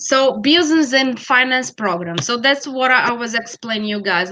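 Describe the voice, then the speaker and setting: A woman talks with a Brazilian Portuguese accent in a bright, sharp tone. The sound is dry and close, with no echo. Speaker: college network representative. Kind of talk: presentation in an interview. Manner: halting, many fillers.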